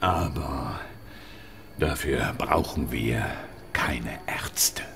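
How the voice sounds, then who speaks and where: A man in a put-on character voice, very deep and low in pitch, at a very slow pace. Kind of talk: radio drama.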